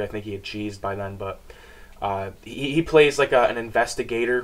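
A man with a fairly low pitch and an unremarkable speaking voice talks at a moderate pace. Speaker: reviewer. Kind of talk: casual vlog chat. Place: home room.

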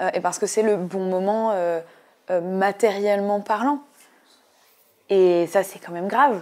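A woman at medium pitch, fairly slow and fairly even in intonation, with long, frequent pauses and big swings in loudness. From eastern France, Ain; eastern France. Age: 20s. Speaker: political activist and candidate; election candidate. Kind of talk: interview; interview answer. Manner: hesitant, many filler sounds. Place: studio. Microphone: lapel.

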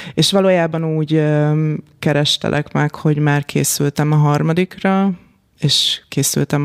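Very slowly, a woman speaks with a very deep, low pitch in a dry, close sound with no echo. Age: 40s. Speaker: business executive and organisational development consultant. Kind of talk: interview conversation. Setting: podcast studio.

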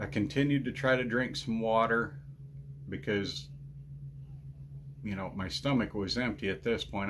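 At a moderate pace, a man with a fairly low pitch talks with lively intonation over light background noise. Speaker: ranch vlogger. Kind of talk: casual vlog chat. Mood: earnest, recounting painful ordeal. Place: home room. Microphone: phone near.

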